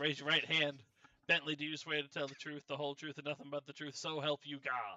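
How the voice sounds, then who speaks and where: A gruff, put-on character voice moves at a fairly quick pace in monotone, flat intonation. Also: man, fairly high pitch for a man. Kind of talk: mock courtroom speech. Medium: game stream. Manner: gruff, impatient.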